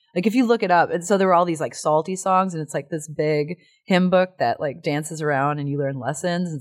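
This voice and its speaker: With an American accent and an animated tone, this speaker talks at a fairly quick pace with ordinary pitch variation and hardly any pauses, on a very clean recording with a silent background. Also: woman. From US Midwest, Chicago area. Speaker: actor and musician. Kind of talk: casual interview chat. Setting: studio. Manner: animated, laughing often.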